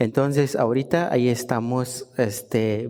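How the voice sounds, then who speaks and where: A man talks in a Guatemalan accent. His tone is dark and mellow. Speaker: guest preacher. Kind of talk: sermon. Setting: church service.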